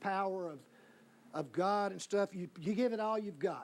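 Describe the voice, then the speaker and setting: A man's high voice at a moderate pace. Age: 60s. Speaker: debater. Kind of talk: debate. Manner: animated.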